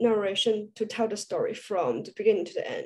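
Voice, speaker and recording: A woman's high-pitched voice carries a dark, mellow tone. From China. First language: Chinese. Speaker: student panel moderator. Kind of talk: panel interview. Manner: halting. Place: home room. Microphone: video call.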